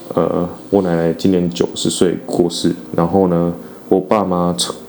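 A man talks with a very deep, low pitch, and noticeable noise runs behind him. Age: 30s. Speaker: podcast host. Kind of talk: casual monologue. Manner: halting.

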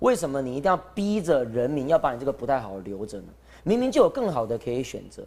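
A man's fairly quick delivery, with very wide pitch swings and vocal fry. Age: 30s. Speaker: council candidate, recall campaign spokesman. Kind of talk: live-streamed panel discussion. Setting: live broadcast venue with studio audience. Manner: animated. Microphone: too quiet.

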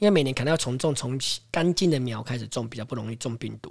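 Somewhat breathy man at medium pitch and a fairly quick pace. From Taiwan, Taipei. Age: 40s. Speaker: farmer. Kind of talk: interview.

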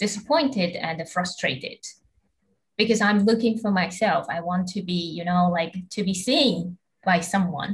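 A woman with a Taiwanese accent talks at a fairly slow pace, somewhat breathy, at a medium pitch with ordinary pitch variation. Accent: Taiwanese Mandarin-accented English. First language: Mandarin Chinese. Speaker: podcast host, master's student. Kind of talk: casual interview.

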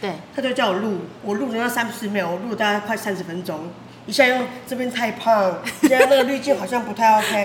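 Speaking at a fairly quick pace, a woman uses a fairly high pitch with ordinary pitch variation. Noticeable background noise and audible room echo accompany her. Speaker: noodle shop owner. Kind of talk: casual chat.

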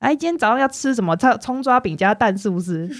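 A woman speaks at a very fast pace with very wide pitch swings. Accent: Taiwanese. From northern Taiwan. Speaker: former schoolteacher. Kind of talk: casual chat.

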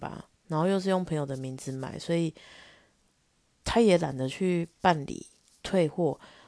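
In a quiet background, a woman with a dark, mellow tone speaks at a moderate pace and fairly low pitch with ordinary pitch variation. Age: 30s. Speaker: podcast host. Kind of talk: casual solo monologue.

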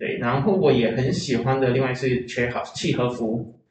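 Both audible room echo and noticeable background noise come through in this clip. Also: man. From Taiwan, Chiayi. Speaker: writer and creator. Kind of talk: interview conversation.

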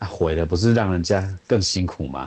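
The speaker is a man. He talks at a moderate pace. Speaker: visually impaired voice actor. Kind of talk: casual chat. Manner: blunt.

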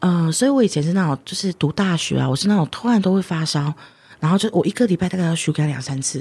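Very fast and somewhat breathy, a woman with a fairly low pitch, dark, mellow tone and lively intonation speaks in a very clean recording with a silent background. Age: 30s. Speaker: tarot card author and healer. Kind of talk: interview.

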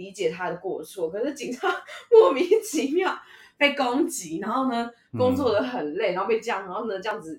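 A fairly high-pitched woman speaks at a moderate pace, with very wide pitch swings and big swings in loudness. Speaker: podcast co-host. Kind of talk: casual chat.

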